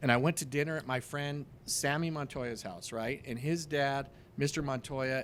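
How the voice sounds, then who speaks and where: A man with an American accent uses a normal speaking voice, fairly high in pitch, with fairly even intonation at a moderate pace. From Denver, Colorado. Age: 50s. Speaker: real estate investor. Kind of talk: casual interview chat.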